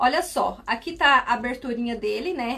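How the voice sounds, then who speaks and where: At a fairly slow pace, a woman speaks in a fairly high voice with a bright, sharp tone. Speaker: sewing instructor, seamstress. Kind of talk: live sewing tutorial.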